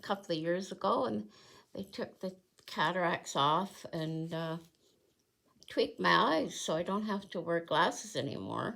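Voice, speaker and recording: Her voice is fairly low for a woman, with vocal fry. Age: 70s. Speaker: cross stitch video creator. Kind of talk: casual chat. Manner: halting.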